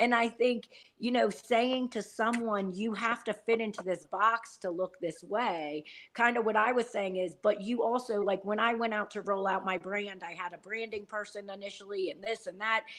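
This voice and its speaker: A woman with a plain, everyday voice speaks at a moderate pace, her fairly high pitch following fairly even intonation. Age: 40s. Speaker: wellness company owner. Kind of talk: casual chat.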